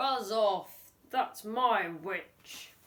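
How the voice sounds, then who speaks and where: A female-sounding put-on character voice comes out croaky and growling at a fairly high pitch. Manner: menacing, gruff.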